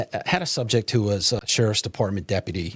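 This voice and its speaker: A somewhat breathy man with a fairly low pitch and a New England accent, moderate pace and ordinary pitch variation, on a very clean, dry, close recording with no echo and a silent background. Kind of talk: reporting an interview, matter-of-fact.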